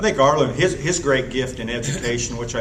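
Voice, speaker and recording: A man with an American accent talks at a fairly quick pace, with audible room echo and noticeable background noise. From southern Indiana (Columbus). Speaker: retired agriculture teacher. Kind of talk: casual reminiscing. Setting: anniversary celebration event.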